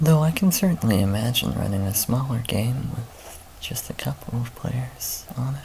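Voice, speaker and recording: Soft-spoken and medium in pitch, a man talks at a moderate pace with lively intonation and hardly any pauses over noticeable background noise. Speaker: dungeon master. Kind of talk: casual talk to camera.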